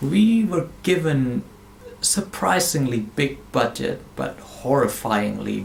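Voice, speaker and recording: A man with a non-native accent speaks at a medium pitch, his voice swinging very widely up and down. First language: not English. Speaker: movie reviewer. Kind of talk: casual review monologue. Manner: animated.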